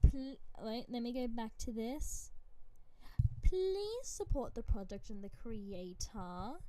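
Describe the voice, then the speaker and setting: A woman with an Australian accent speaks very slowly in a fairly high pitch and a dark, mellow tone. Her intonation is lively, and her loudness swings widely. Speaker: vtuber streamer. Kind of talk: live game stream commentary. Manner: animated.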